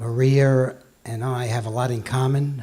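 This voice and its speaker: The delivery keeps a fairly slow pace and fairly even intonation. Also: man. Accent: New York. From New York. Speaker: financial executive, award presenter. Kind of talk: award ceremony speech. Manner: halting.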